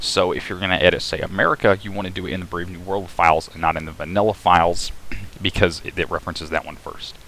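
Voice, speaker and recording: A man's mumbling at a very fast pace, very deep and low in pitch, bright and sharp in tone, with fairly even intonation and big swings in loudness. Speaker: game modding tutorial maker. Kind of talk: screen-recorded tutorial narration. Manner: mumbling, a bit hard to understand; casual, with filler hesitations.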